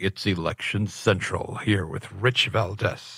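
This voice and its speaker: The speaker does a put-on character voice at a fairly slow pace. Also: man, fairly low pitch for a man. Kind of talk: cool. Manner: dramatic.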